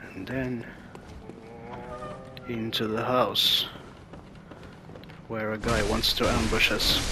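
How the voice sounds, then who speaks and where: A man speaks very slowly in a monotone, flat delivery at medium pitch. Long, frequent pauses break it up, and music plays in the background. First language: non-native English speaker. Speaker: video game let's player. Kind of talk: gameplay commentary. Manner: casual.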